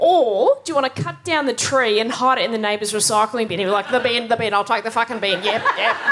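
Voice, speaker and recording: With an Australian accent, a woman talks at a very fast pace with hardly any pauses. There is light background noise. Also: ordinary pitch variation. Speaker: stand-up comedian. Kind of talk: stand-up. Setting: stage with audience. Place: stage.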